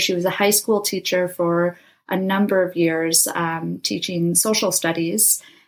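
In a normal speaking voice, a woman with an American accent talks at a moderate pace and medium pitch with fairly even intonation, on a very clean recording with a silent background. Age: 20s. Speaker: aspiring astronaut and nonprofit founder. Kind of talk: interview.

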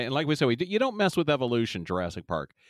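Talking at a very fast pace, a man with a fairly high pitch swings his voice very widely up and down on a very clean recording with a silent background. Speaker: podcast host. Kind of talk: casual comedic chat about TV episode. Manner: joking, banter, interrupts.

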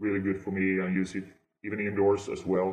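The speaker is a man. His pitch sits fairly low. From Scandinavia. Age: 30s. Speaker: gardener. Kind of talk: interview. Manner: hesitant, many fillers.

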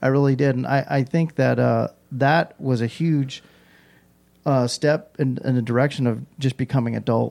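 A man speaks at a medium pitch and a moderate pace in an American accent. His loudness stays very even. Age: 40s. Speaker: pool industry sales rep. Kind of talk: casual interview. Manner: animated.

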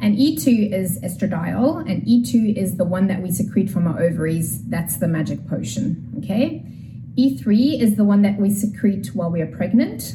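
A woman at medium pitch and a moderate pace, her pitch swinging very widely, with audible room echo and noticeable background noise. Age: 40s. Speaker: pelvic health physiotherapist. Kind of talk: explanatory interview talk.

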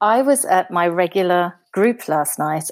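Speaking with a British accent, a woman uses a medium pitch. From Britain. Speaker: scrapbooker. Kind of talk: casual chat.

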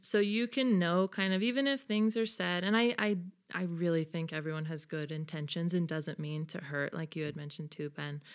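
Lively intonation from a woman with an American accent and a fairly low pitch. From California, Bay Area. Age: 20s. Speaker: Latter-day Saint convert, former college basketball player. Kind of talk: casual interview conversation.

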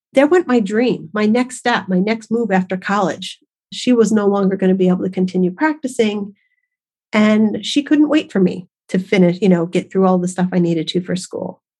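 At a moderate pace, a woman with a medium pitch speaks in a somewhat breathy voice, her pitch varying in an ordinary way. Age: 50s. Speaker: podcast host, massage therapist and nutritionist. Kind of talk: personal storytelling monologue. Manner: chatty.

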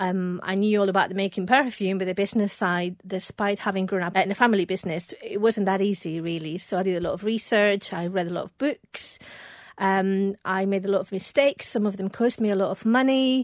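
A woman's unremarkable speaking voice, medium in pitch and fairly quick in pace, on a very clean recording with a silent background. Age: 40s. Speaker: perfumer and business founder. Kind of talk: casual interview.

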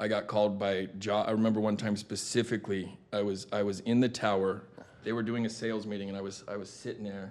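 This man talks very fast in an American accent with a flat, monotone delivery. His pitch sits fairly low. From Arizona, Tucson. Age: 40s. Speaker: recovering addict, former car sales manager. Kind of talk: interview.

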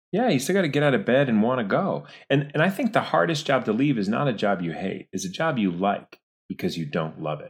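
Speaking at a fairly quick pace, a man with a medium-pitched voice and vocal fry swings very widely in pitch. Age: 40s. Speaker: actor and director. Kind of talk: casual interview.

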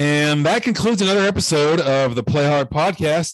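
At a moderate pace, a man uses a normal speaking voice with ordinary pitch variation. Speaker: podcast host. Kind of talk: casual chat. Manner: casual, filler words.

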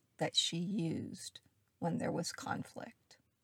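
Somewhat breathy speech with an American accent, fairly even intonation and a dry, close sound with no echo. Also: woman. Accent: faint Southern, mostly trained out. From US South. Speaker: astrology podcast host. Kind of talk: solo astrology monologue.

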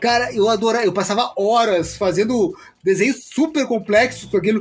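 The man's voice sits high in pitch, with ordinary variation. He keeps a moderate pace. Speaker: podcast host. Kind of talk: casual chat.

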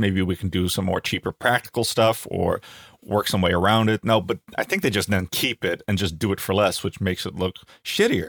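A man with a Dutch accent speaks at a fairly quick pace with a fairly low pitch. The sound is dry and close with no echo, on a very clean recording with a silent background. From Netherlands. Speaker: comedian. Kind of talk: casual chat.

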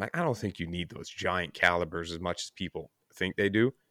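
Fairly quick male speech with a Newfoundland accent and ordinary pitch variation, in a very clean recording with a silent background and a dry, close sound with no echo. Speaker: podcast host. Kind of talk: casual chat.

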